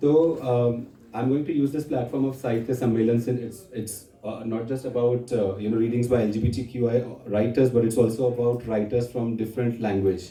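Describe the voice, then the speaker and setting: At a moderate pace, a man with a medium pitch speaks in a dark, mellow, somewhat breathy tone with fairly even intonation, and audible room echo. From India, Maharashtra. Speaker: poet and activist. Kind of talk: literary festival talk. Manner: halting, with many fillers.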